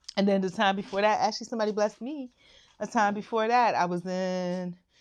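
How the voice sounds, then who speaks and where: At a fairly quick pace, a normal speaking voice with ordinary pitch variation comes through over a quiet background. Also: woman. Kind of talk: casual talk to camera.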